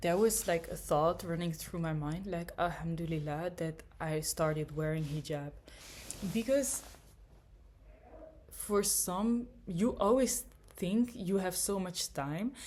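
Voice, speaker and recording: A woman's fairly low-pitched voice at a very slow pace, with lively intonation and long, frequent pauses. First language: a Germanic language. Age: young. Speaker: vlogger. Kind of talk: casual monologue. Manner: hesitant, many fillers.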